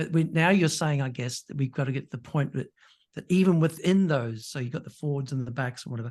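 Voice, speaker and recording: Over a quiet background, a man with an Australian accent speaks very fast at a fairly high pitch with ordinary pitch variation. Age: 60s. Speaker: podcast host, exercise physiologist. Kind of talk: interview podcast chat.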